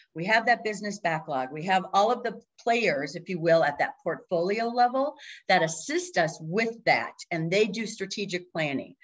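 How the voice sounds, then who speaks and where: A woman with an American accent talks enthusiastically at a moderate pace in a medium-pitched voice. Her intonation is lively and the background is quiet. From Minnesota (Minneapolis). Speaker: agile coach and consultant; agile coach. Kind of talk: presentation. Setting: video call. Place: home room. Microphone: webcam.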